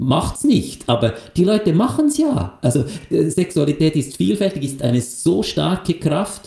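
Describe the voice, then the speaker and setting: With a dark, mellow tone and vocal fry, a man speaks at a fairly slow pace with fairly high pitch, very wide pitch swings and very even loudness. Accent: Swiss. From Switzerland, Lucerne. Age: 50s. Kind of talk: casual interview.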